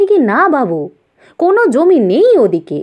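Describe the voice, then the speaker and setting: A woman performs a put-on character voice. It is high-pitched, with very wide pitch swings. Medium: read story. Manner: deferential, rustic.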